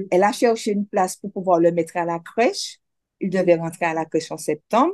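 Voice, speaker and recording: An ordinary speaking voice from a woman at medium pitch, fairly quick, with a dry, close sound with no echo and a quiet background. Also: ordinary pitch variation. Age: 60s. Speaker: cancer survivor. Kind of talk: testimony.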